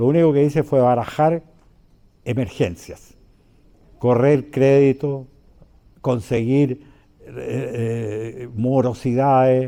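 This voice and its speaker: At a very slow pace, a man with a medium pitch speaks in a dark, mellow tone. His intonation stays fairly even, broken by long, frequent pauses. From Chile. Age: 80s+. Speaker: former business leader and government economic official. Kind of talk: public talk to an audience. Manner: halting, with many fillers.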